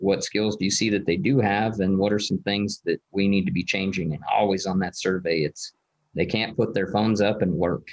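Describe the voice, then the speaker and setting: Against a quiet background, a man with an unremarkable speaking voice talks at a moderate pace, his fairly low pitch following a fairly even intonation. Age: 30s. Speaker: agriculture teacher, podcast guest. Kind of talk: casual interview. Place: office. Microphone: video call.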